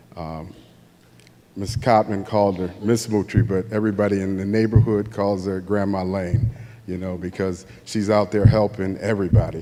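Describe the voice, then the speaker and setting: A man with an American accent speaks at a moderate pace in a fairly low, flat monotone. His loudness swings widely. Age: 60s. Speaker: award recipient's son. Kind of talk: acceptance speech. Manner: halting.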